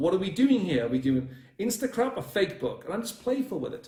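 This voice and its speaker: A man is speaking. His pitch swings very widely. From northern England, Northumberland. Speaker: dating coach. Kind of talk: livestream coaching talk. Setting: live video stream. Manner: fast.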